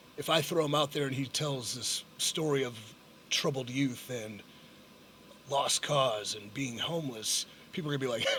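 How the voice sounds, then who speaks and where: A man's medium-pitched voice is heard with noticeable background noise around it. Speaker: professional wrestler. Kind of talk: podcast interview answer.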